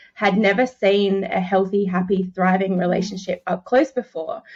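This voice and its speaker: A woman with an Australian accent speaks at medium pitch. Her delivery is monotone and flat, at a moderate pace. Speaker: relationship coach. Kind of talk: interview.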